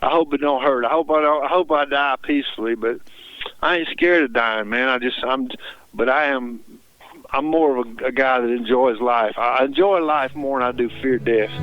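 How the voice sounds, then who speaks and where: Moderate-paced speech from a man, medium in pitch, with ordinary pitch variation. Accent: Mississippi. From Mississippi, Tupelo. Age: 60s. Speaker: singer-songwriter. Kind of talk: radio interview.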